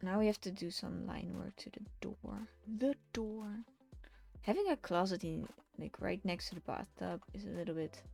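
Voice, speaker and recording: Over background music, a woman talks with big swings in loudness. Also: moderate pace. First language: Dutch. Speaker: digital artist streamer. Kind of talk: casual live stream chat while drawing. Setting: live art stream. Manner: halting.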